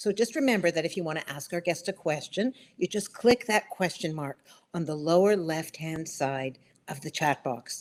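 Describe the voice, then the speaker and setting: A woman with an ordinary speaking voice talks at a moderate pace and fairly low pitch, with lively intonation. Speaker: webinar host. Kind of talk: show host introduction.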